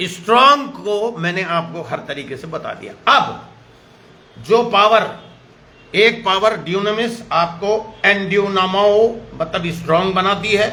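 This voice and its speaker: A man speaks in a raised, projected voice with a high pitch, an animated tone, and ordinary pitch variation. His loudness swings widely, with noticeable background noise and audible room echo. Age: 70s. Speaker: pastor. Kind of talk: sermon.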